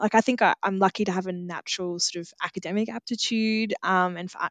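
Delivered at a fairly quick pace with an Australian accent and fairly even intonation, the voice has a dry, close sound with no echo over a quiet background. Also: woman. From regional Australia. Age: 30s. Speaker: agriculture program leader. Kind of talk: interview.

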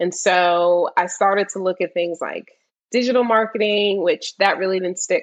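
In an American accent, a woman with a plain, everyday voice speaks at a medium pitch and moderate pace, her intonation fairly even. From US Mid-Atlantic, Washington D.C. area. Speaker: tech sales account executive. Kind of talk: interview.

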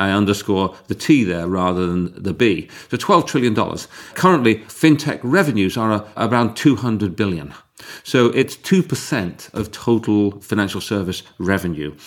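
A man speaks with an unremarkable speaking voice, pitched fairly low. His intonation is lively and his pace moderate. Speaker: podcast host and investment firm partner. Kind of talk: interview.

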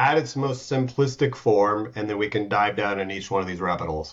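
With an American accent, a man speaks in a fairly low, somewhat breathy voice with lively intonation. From United States. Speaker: startup founder and CEO. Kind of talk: casual interview.

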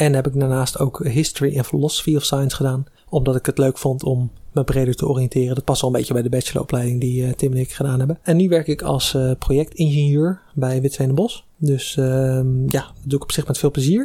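A man's fairly high, somewhat breathy voice with a dark, mellow tone, fairly even intonation, and a fairly quick pace. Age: 20s. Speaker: recent engineering graduate. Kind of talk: casual chat.

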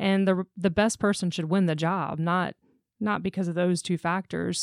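An unremarkable speaking voice with an American accent moves at a moderate pace in a very clean, silent recording with a dry, close sound and no echo. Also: woman. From Jacksonville, Florida. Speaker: staffing business owner. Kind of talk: interview. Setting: studio.

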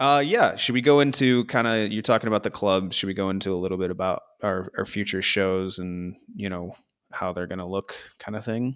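Against a quiet background, a man with an American accent talks at a fairly quick pace. He has a plain, everyday voice, fairly low in pitch with ordinary variation. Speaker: podcast host. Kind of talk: casual chat. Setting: remote recording.

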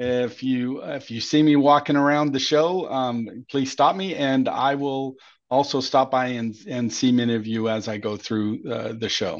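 A man at a medium pitch, fairly slow in pace with hardly any pauses and ordinary pitch variation, against a quiet background. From Southern California. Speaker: sales and marketing manager. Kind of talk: casual interview.

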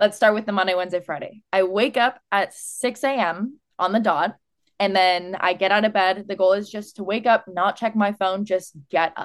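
A woman with an American accent and a medium pitch talks at a moderate pace with fairly even intonation against a quiet background. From California. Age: 20s. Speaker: fitness influencer. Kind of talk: casual chat.

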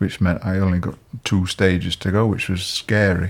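This man has a very deep, low voice with a Yorkshire accent. He talks in a monotone with flat intonation. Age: 60s. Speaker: retired police officer. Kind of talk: interview. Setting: at home.

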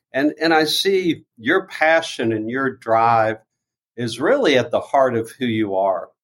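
An ordinary speaking voice from a man, medium in pitch, fairly slow, with lively intonation. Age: 60s. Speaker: nonprofit founder and fundraiser. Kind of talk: casual interview.

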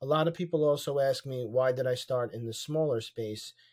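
The recording is very clean, with a silent background. A man speaks with fairly even intonation. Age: 40s. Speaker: real estate investor. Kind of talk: interview. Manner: hesitant with many fillers.

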